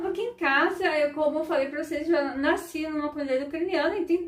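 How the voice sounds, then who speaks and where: A woman speaks in a high voice. Music plays in the background. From southern Brazil, Ukrainian community. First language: Ukrainian (speaking Portuguese). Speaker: vlogger and educator. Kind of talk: informal educational talk to camera. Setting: at home. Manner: conversational, frequent filler né.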